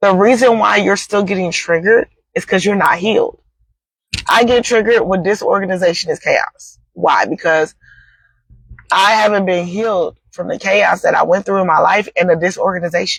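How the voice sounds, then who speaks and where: Somewhat breathy delivery with fairly even intonation at a moderate pace. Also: woman, medium pitch for a woman. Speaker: faith and healing talk host. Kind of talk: inspirational talk.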